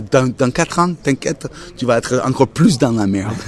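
A man with an American accent. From United States. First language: English (speaking French). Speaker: blues musician. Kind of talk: casual interview. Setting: outdoor café terrace.

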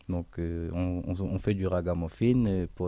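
A man with a very deep, low pitch, a dark, mellow tone, fairly even intonation and a Réunion accent, at a fairly slow pace. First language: Réunion Creole (speaking French). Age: 20s. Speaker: musician. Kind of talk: radio interview.

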